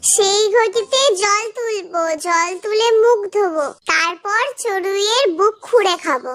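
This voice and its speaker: Cartoonish character voice, extremely high in pitch, at a fairly slow pace. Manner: fast, repetitive listing.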